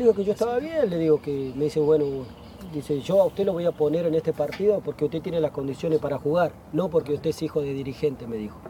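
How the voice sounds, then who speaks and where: This man speaks at a very fast pace with a fairly high pitch and ordinary pitch variation. The sound is dry with no echo, and light background noise is present. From Argentina. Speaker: retired footballer; guest. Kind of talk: casual chat. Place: garden. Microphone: lapel.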